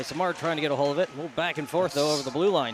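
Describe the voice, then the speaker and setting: Ordinary pitch variation comes through at a very fast pace over noticeable background noise. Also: man. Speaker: play-by-play commentator. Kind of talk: live commentary.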